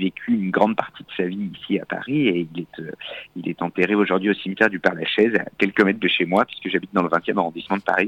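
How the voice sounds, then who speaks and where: Very deep, low male speech with ordinary pitch variation. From France, Auvergne. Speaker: accordionist. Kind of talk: radio interview. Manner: hesitant, with fillers and repetitions.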